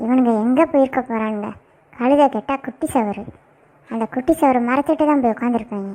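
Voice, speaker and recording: A cartoonish character voice delivered at a moderate pace. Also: female-sounding voice, high pitch for a woman. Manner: cheeky, talkative.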